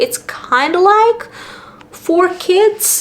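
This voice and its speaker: A woman's voice amid noticeable background noise. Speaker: booktuber. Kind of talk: casual vlog talk. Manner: casual, filler-heavy.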